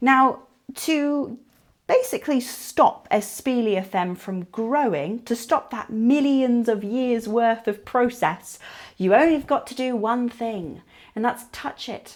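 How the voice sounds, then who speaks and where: With an English accent, a woman with a high pitch speaks at a very slow pace, using ordinary pitch variation and big swings in loudness. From England. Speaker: television presenter and caver. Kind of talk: unscripted educational talk to camera. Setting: inside a cave.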